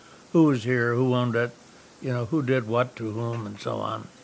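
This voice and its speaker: A man speaks in an American accent. His pace is very fast. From upstate New York. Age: 90s. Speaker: historic house owner. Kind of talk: documentary interview. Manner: halting, many fillers.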